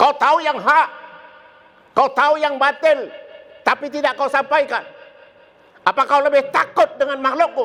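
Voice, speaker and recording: With a raised, projected voice of very even loudness, a man at an extremely high pitch shows ordinary pitch variation, moving at a moderate pace broken by long, frequent pauses. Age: 70s. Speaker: Islamic preacher. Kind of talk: sermon.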